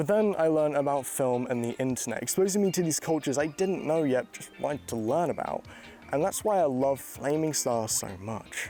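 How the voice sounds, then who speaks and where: A man's fairly high voice with lively intonation and a fairly quick pace, music playing in the background. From England, Cornwall. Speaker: video essayist. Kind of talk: video essay narration.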